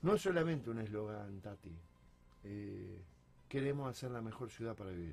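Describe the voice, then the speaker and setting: A man with a fairly low pitch talks at a moderate pace, somewhat breathy. His intonation is lively, broken by long, frequent pauses. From Argentina, Salto, Buenos Aires province. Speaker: mayor. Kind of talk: radio interview.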